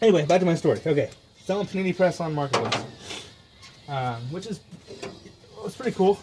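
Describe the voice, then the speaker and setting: Over noticeable background noise, a man mumbles in a high voice at a very fast pace, with lively intonation and long, frequent pauses. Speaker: DIY mechanic YouTuber. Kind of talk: casual workshop vlog. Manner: mumbling.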